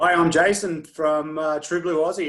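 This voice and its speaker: A man with an Australian accent speaks at a moderate pace with a fairly high pitch and monotone, flat intonation. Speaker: adventure racer. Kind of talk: team introduction video.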